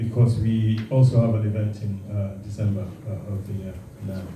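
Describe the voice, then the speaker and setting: Audible room echo follows a man talking at a fairly slow pace with fairly even intonation. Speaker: alumni association secretary. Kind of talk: formal speech at dinner event. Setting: hotel function room with audience. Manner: halting.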